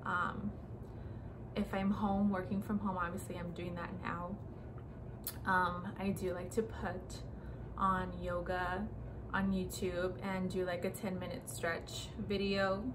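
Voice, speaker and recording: Noticeable background noise runs beneath the recording. A woman speaks at a very slow pace. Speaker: lifestyle vlogger. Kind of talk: casual vlog monologue. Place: home room. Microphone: phone near.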